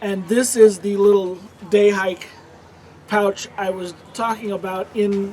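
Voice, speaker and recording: With light background noise behind him, a man with a high pitch speaks in a monotone, flat intonation. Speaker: outdoor gear and survival kit youtuber; presenter. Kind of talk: tutorial. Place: forest.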